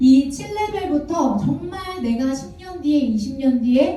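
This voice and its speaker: In a room with audible echo, a woman's high, dark, mellow voice moves at a fairly slow pace with very wide pitch swings. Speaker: network marketing distributor presenter. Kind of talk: seminar presentation. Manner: gentle, soft-spoken.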